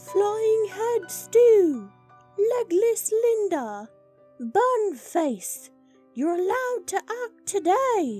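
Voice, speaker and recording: At a very slow pace, a female-sounding put-on character voice speaks at an extremely high pitch, with faint music in the background. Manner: yelling like a general, commanding.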